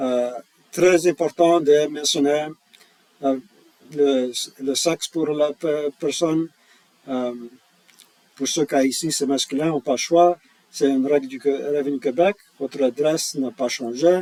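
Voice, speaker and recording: Speaking at a very slow pace with long, frequent pauses, a man with a non-native accent uses a fairly high pitch and fairly even intonation in a dry, close sound with no echo. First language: not French (speaking French). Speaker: tax software employee. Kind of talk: tutorial. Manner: halting, many hesitations.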